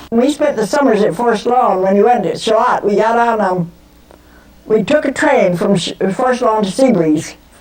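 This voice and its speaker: Lively intonation and a fairly high pitch mark this woman's voice, in an American accent. She speaks fairly slowly over noticeable background noise. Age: 80s+. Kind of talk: interview answer.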